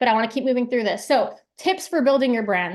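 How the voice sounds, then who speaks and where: The speech moves at a fairly quick pace with ordinary pitch variation against a quiet background. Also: woman. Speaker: branding workshop presenter. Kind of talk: live workshop talk. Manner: fast; energetic.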